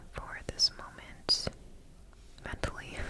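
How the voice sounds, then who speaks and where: Loud background noise surrounds a woman's voice. She speaks at a very slow pace. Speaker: ASMR creator. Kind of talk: ASMR whisper ramble to camera. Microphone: studio mic.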